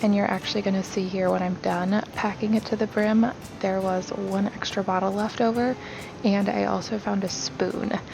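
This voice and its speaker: The soft-spoken voice keeps very even loudness and fairly even intonation against noticeable background noise. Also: woman, medium pitch for a woman, moderate pace. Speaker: home vlogger. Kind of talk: voiceover narration. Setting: recorded at home in dining room.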